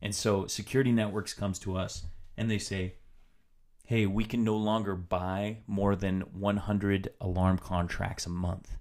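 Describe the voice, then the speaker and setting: A man with an American accent speaks at a moderate pace. His fairly low voice stays in a flat monotone. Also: very clean recording, silent background. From US, Washington State. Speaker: podcast host, entrepreneur. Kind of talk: solo podcast monologue, personal story.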